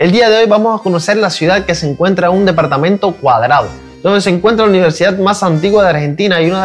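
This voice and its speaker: Music plays in the background as a man speaks very fast. His pitch is high, with ordinary variation. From Cuba. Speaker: YouTube reaction creator. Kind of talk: video intro to camera.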